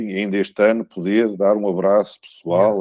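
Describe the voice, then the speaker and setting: A man's fairly low, dark, mellow voice in a European Portuguese accent, monotone and flat, at a moderate pace, with a dry, close sound and no echo. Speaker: law professor. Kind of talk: academic lecture. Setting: video call into a conference. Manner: halting, many fillers and repetitions.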